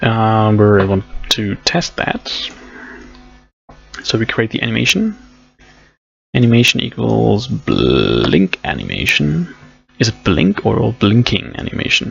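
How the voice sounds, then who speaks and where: Over music in the background, a man with a non-native accent talks at a fairly slow pace, leaving long, frequent pauses. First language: not English. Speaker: programming streamer. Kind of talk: live coding tutorial. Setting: live stream. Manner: casual, thinking aloud with fillers.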